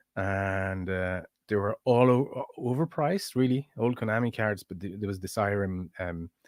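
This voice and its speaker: A man with a French accent speaks at a moderate pace and fairly low pitch with ordinary pitch variation, in a very clean recording with a silent background and a dry, close sound with no echo. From France. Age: 40s. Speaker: streamer and synth maker. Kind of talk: casual live-stream chat. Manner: halting, many fillers and repeats.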